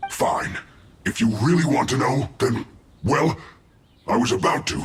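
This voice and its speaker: A man puts on a growling character voice. His pitch is medium and his pace moderate. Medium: video game.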